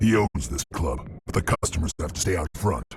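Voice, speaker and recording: At a moderate pace, a man talks in a put-on character voice. The pitch he uses is very deep and low. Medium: video game. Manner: curt.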